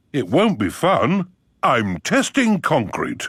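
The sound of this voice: A man puts on a cartoonish character voice, pitched high. He talks at a fairly slow pace.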